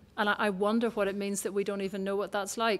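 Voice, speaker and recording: Speaking at a fairly quick pace, a woman uses a medium pitch. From Scotland. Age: 50s. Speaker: speaker at a public talk. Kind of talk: public talk; audience Q&A. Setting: stage with audience. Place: hall. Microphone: handheld.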